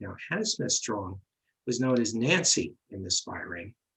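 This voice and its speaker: In a New York accent, a man speaks with ordinary pitch variation. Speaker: medium and paranormal investigator. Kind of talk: history presentation. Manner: halting, many fillers.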